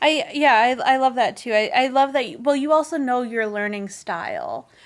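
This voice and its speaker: With lively intonation, a woman speaks at a high pitch and moderate pace over noticeable background noise. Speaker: podcast host. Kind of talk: casual podcast conversation.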